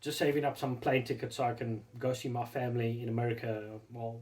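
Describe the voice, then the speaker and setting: At a fairly quick pace, a man with a medium pitch speaks in a somewhat breathy voice. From South Africa. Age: 40s. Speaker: RC hobby YouTuber. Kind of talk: casual vlog monologue. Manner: halting, many repetitions and fillers.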